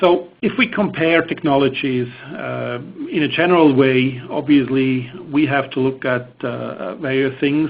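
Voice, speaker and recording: There is noticeable background noise as a man speaks with a Swiss accent. He goes at a fairly slow pace with ordinary pitch variation. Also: medium pitch for a man. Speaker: engineering presenter. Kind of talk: technical webinar presentation. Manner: hesitant, many fillers.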